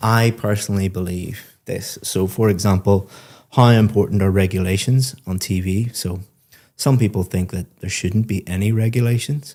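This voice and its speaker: Somewhat breathy and relaxed, a man speaks in a fairly low pitch with a dark, mellow tone and fairly even intonation. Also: moderate pace, very clean recording, silent background. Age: adult parent. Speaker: IELTS speaking examiner giving feedback. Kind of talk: spoken feedback to a student. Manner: conversational, relaxed.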